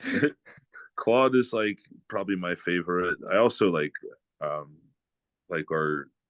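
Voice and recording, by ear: A man with a low pitch and a fairly bright tone talks at a fairly slow pace with lively intonation.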